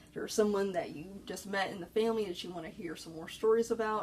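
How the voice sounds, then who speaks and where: A woman of medium pitch speaks at a fairly quick pace with ordinary pitch variation over noticeable background noise. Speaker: librarian. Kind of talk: informational talk. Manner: soft-spoken; hesitant with fillers.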